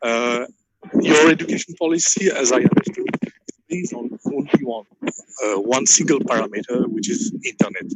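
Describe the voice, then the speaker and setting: Talking at a moderate pace, a man uses a fairly high pitch with very wide pitch swings. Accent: French. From France. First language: French. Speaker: fan association head. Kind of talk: audience question. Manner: halting. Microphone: cutting in and out.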